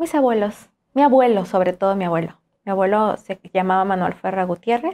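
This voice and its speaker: Dark, mellow tone from a woman, moderately paced, her pitch varying in an ordinary way. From Juchitán, Oaxaca, Mexico; Oaxaca, Mexico. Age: young. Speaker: singer; interview guest. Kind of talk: interview. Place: studio. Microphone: lapel.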